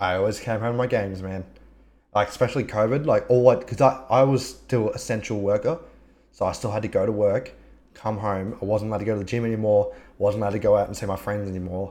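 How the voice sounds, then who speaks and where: A man in an Australian accent talks at a very fast pace with a fairly low pitch, a dark, mellow tone and fairly even intonation against a quiet background. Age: 20s. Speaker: podcast host and streamer. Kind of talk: casual chat. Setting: live stream video call.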